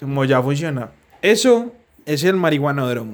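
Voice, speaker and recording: This man has a fairly high pitch and lively intonation. He speaks at a fairly slow pace. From Colombia, Medellín. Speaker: podcast co-host. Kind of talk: casual chat.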